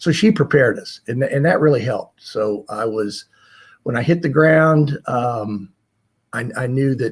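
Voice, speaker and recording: A man with an American accent, somewhat breathy, with lively intonation and a moderate pace. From US South. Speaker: retired corporate executive. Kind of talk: interview storytelling.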